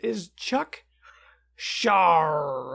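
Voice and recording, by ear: A put-on character voice sits at a middle pitch.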